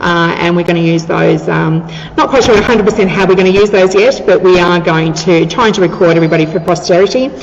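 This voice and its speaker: Over noticeable background noise, a woman speaks at a very fast pace. She has an Australian accent and a fairly low pitch. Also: ordinary pitch variation. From Australia, Victoria (Ocean Grove near Geelong). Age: 50s. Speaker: museum manager and tour guide. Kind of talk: interview. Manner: talkative, enthusiastic.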